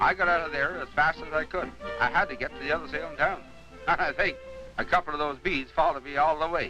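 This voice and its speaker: Against music in the background, a man talks at a very fast pace. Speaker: country auctioneer. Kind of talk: documentary voice-over narration. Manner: plain, conversational, folksy.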